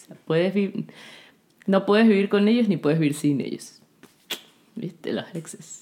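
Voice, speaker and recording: A soft-spoken woman's voice, dark and mellow, at a medium pitch and moderate pace, with ordinary pitch variation, big swings in loudness and long, frequent pauses. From Ecuador. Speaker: podcast co-host. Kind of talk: casual chat.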